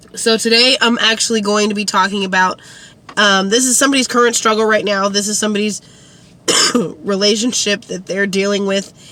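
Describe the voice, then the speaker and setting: Against noticeable background noise, a woman with a fairly high pitch speaks at a moderate pace with fairly even intonation and long, frequent pauses. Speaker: lifestyle and relationship advice vlogger. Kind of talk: casual vlog monologue. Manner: hesitant, many fillers and repeats.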